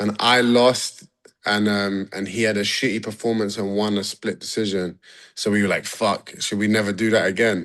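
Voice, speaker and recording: A man with a London accent, fairly low in pitch, at a moderate pace against a quiet background. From London, England. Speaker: MMA fighter. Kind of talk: casual interview. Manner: animated.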